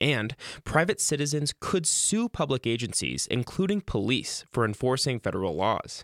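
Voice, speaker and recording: In a very clean recording with a silent background and a dry, close sound with no echo, a man with vocal fry speaks at a medium pitch and moderate pace, his pitch swinging very widely. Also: very even loudness. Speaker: radio newsreader. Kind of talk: news reading, scripted radio news brief. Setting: radio studio. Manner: formal, steady, even-paced; crisp and neutral.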